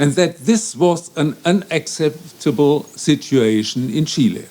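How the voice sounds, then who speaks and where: This man has a fairly high pitch and a dark, mellow tone, with a German accent. His intonation is lively. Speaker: law professor. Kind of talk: conference speech. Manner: formal.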